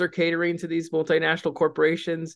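A man with an American accent, a normal speaking voice, fairly high pitch, and a fairly quick pace. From California, Monterey area. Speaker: trade justice activist, coalition director. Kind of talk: interview.

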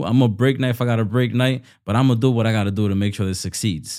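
A man with a Bronx accent talks at a very fast pace with ordinary pitch variation. His tone is dark and mellow, on a very clean recording with a silent background. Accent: New York, Bronx. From New York, the Bronx. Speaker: podcast host. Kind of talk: casual chat.

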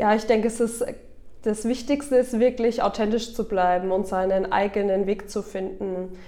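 Fairly high in pitch, a woman's voice has a dark, mellow tone, fairly even intonation, and a moderate pace. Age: 20s. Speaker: business owner. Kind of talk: interview. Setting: studio.

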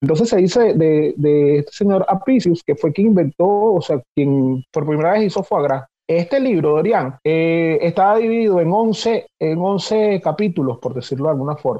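A man speaks with a Venezuelan accent in a high pitch and lively intonation. He leaves hardly any pauses. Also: moderate pace, very even loudness. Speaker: cook and podcast co-host. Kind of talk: casual chat.

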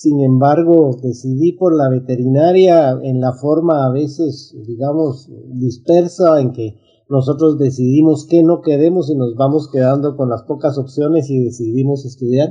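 Somewhat breathy and fairly high, a man's voice moves at a fairly slow pace with fairly even intonation and hardly any pauses. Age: 60s. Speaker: business coach. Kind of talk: interview.

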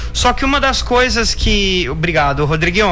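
Noticeable background noise and audible room echo behind a man talking. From Brazil, Indaiatuba (São Paulo state). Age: 20s. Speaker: radio journalist and DJ. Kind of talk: radio interview.

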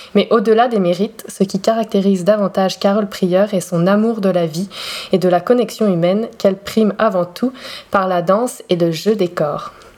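At a moderate pace, a woman speaks in a medium pitch with fairly even intonation over noticeable background noise. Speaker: podcast host and dancer. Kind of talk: scripted introduction. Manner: elegant, poetic delivery.

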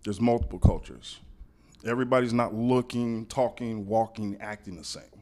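In a normal speaking voice with an American accent, the speaker goes at a moderate pace with fairly even intonation and big swings in loudness. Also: man, medium pitch for a man. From Miami, Florida (Liberty City). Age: 40s. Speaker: podcast guest. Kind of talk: casual chat.

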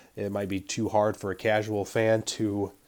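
At a moderate pace, a man talks in a fairly low voice with a dark, mellow tone. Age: 30s. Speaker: podcast host. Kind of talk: casual monologue review. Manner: rambling with frequent fillers.

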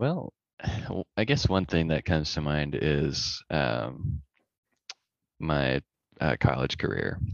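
A man's very deep, low voice with vocal fry and ordinary pitch variation, delivered at a very slow pace with long, frequent pauses. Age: 20s. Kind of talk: casual interview chat. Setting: phone call.

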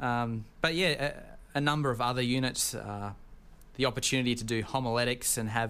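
Speaking at a moderate pace, a man with an Australian accent uses a medium pitch. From Tasmania, Australia. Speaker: seminary student. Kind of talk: casual interview.

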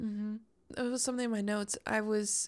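In a very clean recording with a silent background, a woman speaks at a moderate pace at a medium pitch in an unremarkable speaking voice. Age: 20s. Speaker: podcast co-host. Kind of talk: casual chat.

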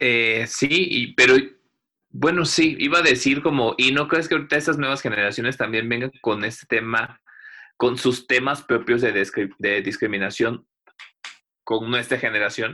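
A man talks at a moderate pace and medium pitch, his tone bright and sharp. He leaves long, frequent pauses in a very clean recording with a silent background. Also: ordinary pitch variation. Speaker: podcast co-host. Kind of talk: casual chat.

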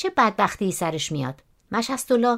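The speaker reads aloud naturally. The delivery stays natural from start to finish.

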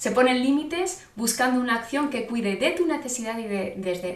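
Her intonation lively and her pace moderate, a woman talks over noticeable background noise with audible room echo. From Spain, Zaragoza. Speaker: nonviolent communication trainer and mother of triplets. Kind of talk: interview about parenting. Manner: halting, with frequent repetitions.

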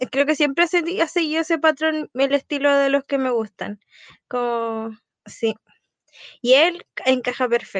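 Her voice is high-pitched with ordinary pitch variation and a fairly slow pace. The woman's sound is dry and close, with no echo. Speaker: podcast co-host. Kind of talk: casual chat.

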